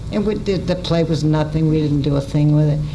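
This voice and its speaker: With an American accent, a woman speaks at a fairly quick pace in a very deep, low pitch, with audible room echo and noticeable background noise. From US Midwest. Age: 90s. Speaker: radio writer and performer. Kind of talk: storytelling talk. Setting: stage with audience. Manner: halting.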